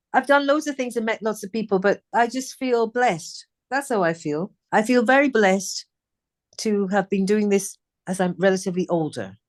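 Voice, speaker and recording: Recorded dry and close with no echo over a quiet background, a woman with a British accent talks at a fairly quick pace. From England. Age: 60s. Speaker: singer. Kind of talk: interview chat.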